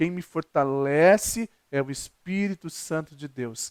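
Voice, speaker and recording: A man's fairly high voice with ordinary pitch variation, dry and close with no echo, in a very clean recording with a silent background. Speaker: pastor. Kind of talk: sermon. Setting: recorded video. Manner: fast.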